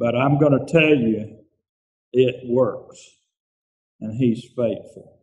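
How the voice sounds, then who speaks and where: A man speaks at a very slow pace, with long, frequent pauses. His pitch is medium and his intonation fairly even. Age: 70s. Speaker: church member. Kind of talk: testimony.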